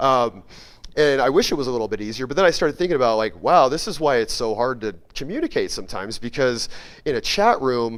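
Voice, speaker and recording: A man's medium-pitched voice, very fast and lively in intonation. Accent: American. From Colorado, US. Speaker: conference speaker. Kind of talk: conference talk.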